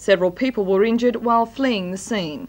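At a fairly quick clip, a woman speaks with ordinary pitch variation. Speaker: television newsreader. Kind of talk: news reading. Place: studio.

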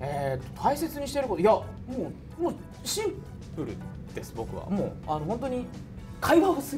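A high-pitched man at a fairly quick pace, very wide pitch swings, long and frequent pauses, clear music in the background. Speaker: voice actor. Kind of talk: casual roundtable talk. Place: studio. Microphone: lapel.

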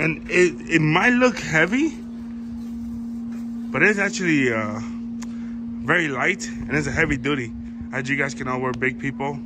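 Long, frequent pauses from a man talking at a moderate pace, over noticeable background noise. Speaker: channel host showing a table. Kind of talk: casual vlog chat. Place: garden. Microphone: phone near.

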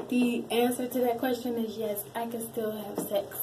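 Over noticeable background noise, a woman talks at a very slow pace with fairly even intonation. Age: 20s. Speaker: YouTuber, wheelchair user; YouTuber. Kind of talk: casual Q&A vlog. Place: bathroom. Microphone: phone near.

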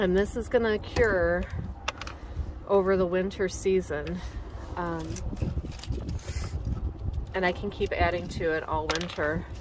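The speech moves at a fairly slow pace with long, frequent pauses. The sound is dry with no echo, though noticeable background noise is present. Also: woman. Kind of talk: casual vlog chat. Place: waterside. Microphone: phone near.

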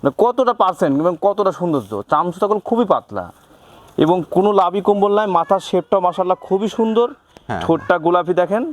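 A man's high-pitched voice holds a very even loudness, with a dry, close sound and no echo. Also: ordinary pitch variation. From Pabna, northwest Bangladesh. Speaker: cattle farmer and heifer trader. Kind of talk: sales pitch.

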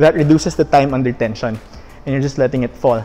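Music plays behind a man whose pitch varies in an ordinary way as he talks. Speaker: fitness coach. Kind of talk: tutorial. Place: gym.

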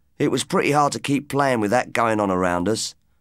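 Lively intonation marks this man's speech. He talks fairly quickly. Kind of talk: audiobook reading of a family ghost story.

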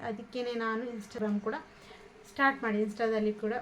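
A woman's fairly high, flat, monotone voice over noticeable background noise. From Belthangady, Dakshina Kannada (coastal Karnataka, India). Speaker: lifestyle vlogger and housewife. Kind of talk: casual vlog talking to camera. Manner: halting, many repetitions and fillers.

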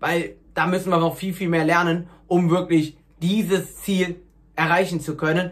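A man talks at a moderate pace in a high pitch. His pitch moves very little.

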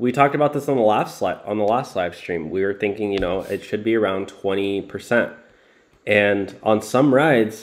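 An unremarkable speaking voice with ordinary pitch variation, moving at a moderate pace. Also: man. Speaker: rideshare commentary streamer. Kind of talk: live stream commentary. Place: home room. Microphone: webcam.

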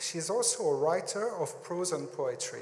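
A man with a French accent at a fairly slow pace, over light background noise. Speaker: museum staff presenter. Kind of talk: prepared introduction speech. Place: hall. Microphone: handheld.

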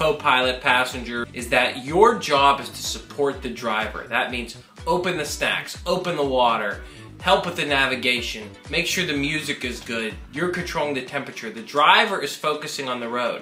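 A man speaks with ordinary pitch variation in a room with audible echo, faint music playing in the background. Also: moderate pace. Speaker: comedian. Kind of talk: comic talk to camera. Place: home room.

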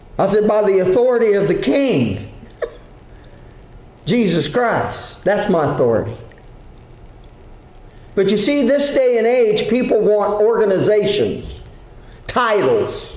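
The speech moves at a fairly slow pace with long, frequent pauses and ordinary pitch variation, set in audible room echo. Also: man, high pitch for a man. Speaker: preacher. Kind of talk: sermon. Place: church. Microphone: podium.

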